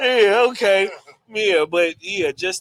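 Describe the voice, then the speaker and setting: A strong Texas accent comes through at a fairly slow pace with very wide pitch swings. The sound is dry and close, with no echo. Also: man. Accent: heavy Texas. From Texas, Dallas. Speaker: metaverse architect and event host. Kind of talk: panel discussion. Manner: animated.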